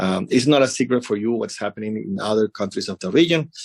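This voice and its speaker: A man with a Spanish accent speaks at a fairly low pitch with ordinary pitch variation. The sound is dry and close, with no echo. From Venezuela. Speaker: embassy representative. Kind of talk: interview. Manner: halting, many fillers.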